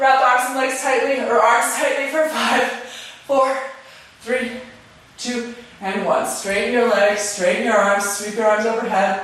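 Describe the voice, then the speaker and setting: The speaker goes at a fairly slow pace with long, frequent pauses. Noticeable background noise can be heard. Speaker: yoga teacher. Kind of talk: live-streamed yoga class with step-by-step pose cues. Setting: live stream, no students present. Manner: calm, measured imperative cueing of precise alignment details; playful asides with laughter between instructions.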